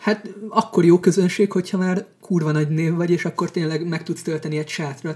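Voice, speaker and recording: A man talks at a fairly quick pace with fairly high pitch. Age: 20s. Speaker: stand-up comedian. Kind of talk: casual chat.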